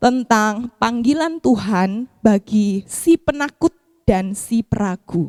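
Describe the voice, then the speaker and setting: A woman's high-pitched voice at a very slow pace, with a dry, close sound and no echo. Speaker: pastor. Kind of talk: sermon.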